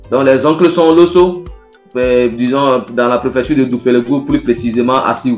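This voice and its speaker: Music in the background behind a man at medium pitch with fairly even intonation. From Togo. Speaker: griot musician. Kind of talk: interview answer.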